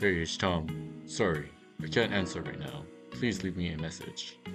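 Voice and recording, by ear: Someone performs a put-on character voice at a moderate pace. Music plays clearly in the background. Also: man.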